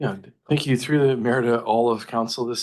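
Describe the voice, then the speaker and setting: This man has a Canadian accent and a medium pitch. He talks at a fairly quick pace over a quiet background. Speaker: city planning staff member. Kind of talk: council meeting briefing. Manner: halting, many restarts.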